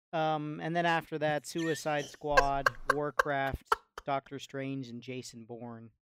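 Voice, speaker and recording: A man's normal speaking voice, fairly high-pitched for a man, at a fairly slow pace with fairly even intonation and big swings in loudness, in a dry, close sound with no echo. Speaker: podcast panelist.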